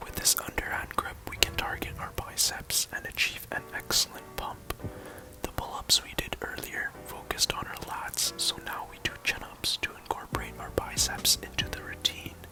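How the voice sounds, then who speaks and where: Someone whispers at a moderate pace, with big swings in loudness. Noticeable background noise is present. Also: man. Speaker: fitness instructor. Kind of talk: ASMR workout tutorial. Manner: whispered; relaxing, soft-spoken.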